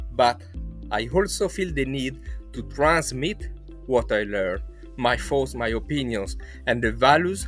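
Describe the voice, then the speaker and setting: Over music in the background, a man with an Italian accent speaks at a fairly slow pace, with long, frequent pauses. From Italy. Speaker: social psychology researcher. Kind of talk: testimonial interview answer.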